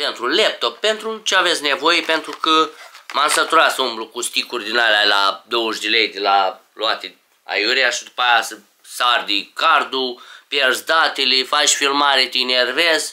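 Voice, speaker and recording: Against a quiet background, a man talks at a fairly slow pace with lively intonation. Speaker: vlogger. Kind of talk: casual unboxing vlog chat. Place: home room. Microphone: camera far.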